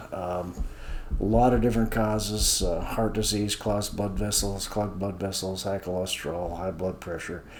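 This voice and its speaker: A man speaks at a moderate pace in a fairly low pitch, his intonation fairly even, with audible room echo around him. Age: 70s. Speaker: senior health video host, accountant. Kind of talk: informal talk-to-camera explainer. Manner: hesitant, many fillers.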